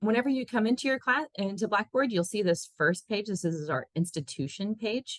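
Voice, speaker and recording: With very wide pitch swings and some vocal fry, a woman speaks at a medium pitch in a dry, close sound with no echo. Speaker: tech support staff. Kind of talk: webinar tutorial. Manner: fast.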